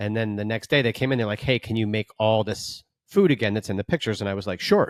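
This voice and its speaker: An American-accented man speaks at medium pitch in a plain, everyday voice with ordinary pitch variation, the sound dry and close with no echo on a very clean recording with a silent background. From New York City (Chelsea, Manhattan). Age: 40s. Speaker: podcast co-host, former chef. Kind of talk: casual chat, anecdote.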